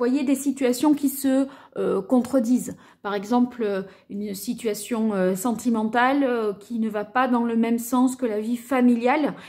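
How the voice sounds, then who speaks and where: In a quiet background, a woman speaks at a fairly slow pace and high pitch with fairly even intonation. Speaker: card reader. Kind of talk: tarot reading commentary.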